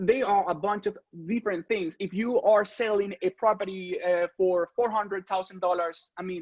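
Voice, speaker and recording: A man's high-pitched voice in a Spanish accent, with fairly even intonation and a dry, close sound with no echo against a quiet background. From Venezuela. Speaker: real estate photographer. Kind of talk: interview. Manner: halting.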